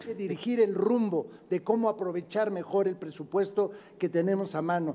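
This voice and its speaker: A man speaks at a high pitch with fairly even intonation. His pace is fairly slow. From Puebla, Mexico. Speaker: political candidate. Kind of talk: debate. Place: studio. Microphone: podium.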